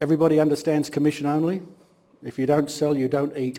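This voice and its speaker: A man races along at a very fast pace with a fairly high pitch. His tone is dark and mellow, his intonation monotone and flat. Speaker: guest speaker, business executive. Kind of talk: guest lecture, personal story. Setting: university classroom.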